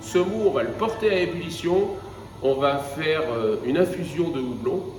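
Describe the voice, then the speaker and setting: With music playing in the background and audible room echo, a man with a high pitch talks at a moderate pace with lively intonation. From northern France (Flanders). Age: 40s. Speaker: craft brewer. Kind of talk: interview monologue. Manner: hesitant, many fillers.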